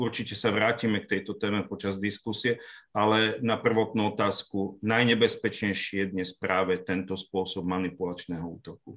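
A man speaks at a moderate pace in a monotone, flat intonation. The recording is very clean, with a silent background. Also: fairly low pitch for a man, hardly any pauses. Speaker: court expert on digital evidence. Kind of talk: panel discussion.

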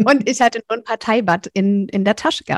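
A woman speaks at a moderate pace in a fairly high pitch, with a plain, everyday voice and a dry, close sound with no echo. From rural Germany. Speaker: speaker and visibility mentor. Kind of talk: interview.

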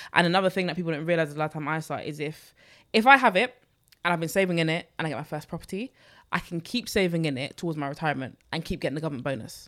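Her delivery is very fast, with lively intonation and a fairly low pitch. The woman speaks in an East London accent. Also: very clean recording, silent background. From London, Newham. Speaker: personal finance creator. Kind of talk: casual chat.

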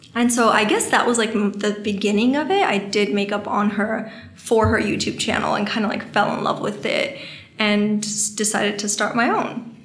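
Against noticeable background noise, the speaker keeps a moderate pace and fairly even intonation. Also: woman. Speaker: beauty influencer and brand owner. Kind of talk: casual podcast interview.

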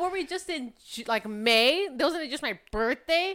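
A woman speaks in an animated tone at a fairly slow pace, her pitch swinging very widely. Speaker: podcast co-host. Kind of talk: casual chat. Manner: animated, joking.

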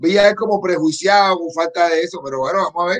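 A man is speaking. His pace is fairly quick. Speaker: co-host of political talk stream. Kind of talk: casual chat. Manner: animated.

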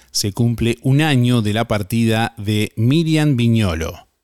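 With a Uruguayan accent and an upbeat tone, a man talks at a fairly slow pace in a medium pitch with ordinary pitch variation, the sound dry and close with no echo. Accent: Rioplatense Spanish (Uruguayan). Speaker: radio host. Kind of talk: radio DJ patter: morning show hosting with call-in messages, weather and prize giveaway. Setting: live radio studio broadcast. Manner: upbeat, friendly, brisk, conversational radio-host delivery.

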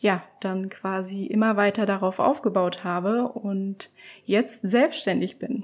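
Speaking at a very slow pace, a woman talks. Her pitch sits in the medium range. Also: ordinary pitch variation. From eastern Germany, Leipzig. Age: 20s. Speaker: photographer. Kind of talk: podcast interview.

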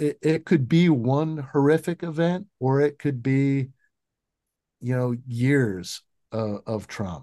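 A man's fairly high voice, very slow in pace with ordinary pitch variation, dry, close sound with no echo against a quiet background. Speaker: PTSD expert. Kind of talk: interview. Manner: halting.

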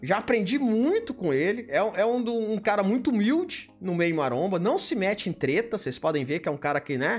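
A man with a Brazilian accent talks at a fairly quick pace, with hardly any pauses and an animated tone. His high pitch swings very widely. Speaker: bodybuilding livestream host. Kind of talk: casual live chat reading superchats. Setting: livestream.

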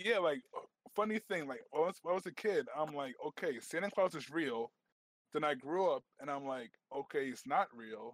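Heard in a dry, close sound with no echo, a man with an unremarkable speaking voice and fairly high pitch talks at a moderate pace with lively intonation. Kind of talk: casual chat. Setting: Discord voice chat.

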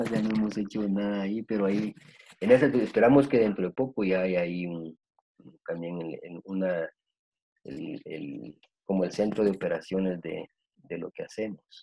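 At a moderate pace, a man speaks with fairly low pitch and big swings in loudness. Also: ordinary pitch variation. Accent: Guatemalan. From Guatemala. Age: 50s. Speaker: psychologist. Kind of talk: interview. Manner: halting, many fillers.

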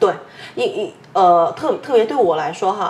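A woman talks at a fairly slow pace. Noticeable background noise runs under her voice. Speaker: podcast host. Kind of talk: casual chat.

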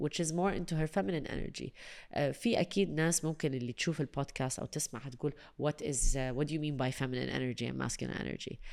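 Talking at a very fast pace with vocal fry, a woman uses a very deep, low pitch and ordinary pitch variation in a very clean recording over a silent background. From UAE. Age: 30s. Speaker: voice-over artist and radio/TV presenter. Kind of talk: casual chat. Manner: animated.

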